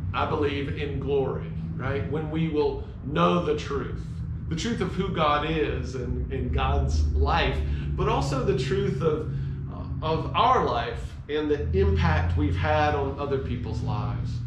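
A man speaks at a very slow pace. Noticeable background noise and audible room echo surround his voice. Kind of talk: heartfelt tribute talk, sermon-like. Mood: reflective, grateful. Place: garage. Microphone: camera far.

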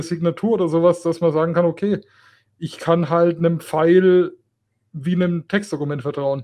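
A man speaks at a high pitch with a dark, mellow tone. His pace is moderate and his intonation fairly even. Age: 20s. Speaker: tech podcast co-host, apprentice. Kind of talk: casual chat.

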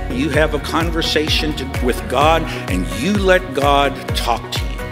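A woman speaks over clear music in the background. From Bulgaria. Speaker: motivational speaker and preacher. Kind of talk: sermon. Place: hall. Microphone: podium.

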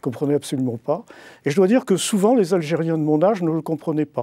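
Against a quiet background, a man with a dark, mellow tone and ordinary pitch variation is heard in a dry recording with no echo. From Bordeaux, France (born in Algiers); France. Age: 60s. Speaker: writer and literature professor; literature professor. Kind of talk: interview. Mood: reflective, nostalgic. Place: studio.

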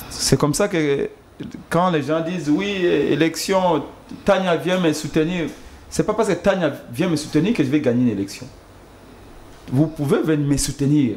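With long, frequent pauses, a man talks at a fairly slow pace in a fairly high pitch with ordinary pitch variation. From DR Congo. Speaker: campaign communications director. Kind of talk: political talk show. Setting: TV studio. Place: studio. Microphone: studio mic.

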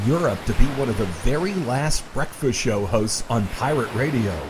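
A medium-pitched man at a moderate pace, with noticeable background noise. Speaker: TV meteorologist and radio host. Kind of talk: demo reel narration.

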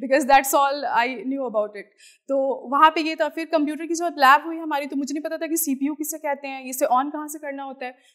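Against a quiet background, a woman speaks at a fairly quick pace in a high voice. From Bihar, East Champaran (Motihari); Bihar. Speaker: civil servant. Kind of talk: motivational talk. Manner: Hindi-English code-switching. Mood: earnest, reflective, sometimes emotional. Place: studio. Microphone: lapel.

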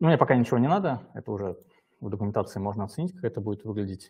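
A man talks at a very fast pace with lively intonation. His tone is dark and mellow, somewhat breathy. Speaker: software development lead. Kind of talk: live software demo. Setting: live stream. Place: home room.

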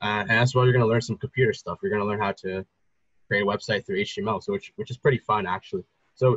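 Over dry sound with no echo, a man speaks at a very fast pace. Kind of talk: informal advice talk. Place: home room. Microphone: video call.

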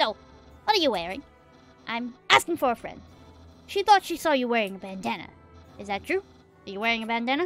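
A female-sounding voice in a put-on character voice, pitched fairly high and moving at a fairly quick pace. Long pauses come often, with faint music in the background. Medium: game stream. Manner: loud, enthusiastic, naive.

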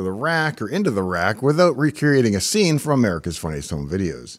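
A man speaks fairly quickly, his pitch swinging very widely, with a quiet background behind him. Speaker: tech hobbyist host. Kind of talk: narrated tech vlog. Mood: wry, enthusiastic. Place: studio. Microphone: studio mic.

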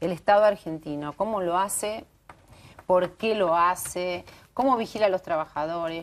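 A woman with a plain, everyday voice speaks at a moderate pace, her fairly low pitch moving with ordinary variation. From Argentina. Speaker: TV talk show host. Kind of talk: TV panel discussion. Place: studio.

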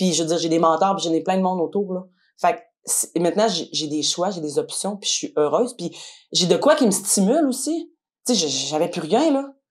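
A woman speaks with a Quebec accent. Her voice is fairly low and her pace fairly quick. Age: 30s. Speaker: cleaning business owner. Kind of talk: testimony.

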